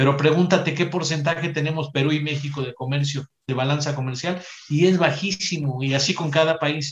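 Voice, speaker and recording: A man's somewhat breathy, fairly high voice at a moderate pace, with fairly even intonation and hardly any pauses. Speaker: psychologist, economic reform advocate. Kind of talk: casual discussion.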